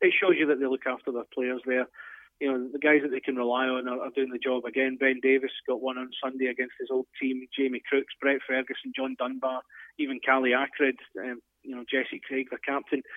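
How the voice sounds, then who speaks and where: A man at a fairly quick pace, his intonation monotone and flat. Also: medium pitch for a man. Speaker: ice hockey analyst. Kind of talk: casual sports analysis chat.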